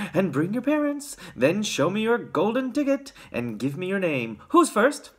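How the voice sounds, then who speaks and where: A man's put-on character voice, high in pitch, with very wide pitch swings at a moderate pace. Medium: read story. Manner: exuberant.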